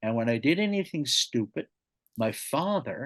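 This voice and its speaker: A man with a Newfoundland accent at a fairly slow pace, very wide pitch swings, and a dry, close sound with no echo. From Newfoundland, Canada (St. John's). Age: 60s. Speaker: podcast guest, storyteller. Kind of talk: casual interview, life story.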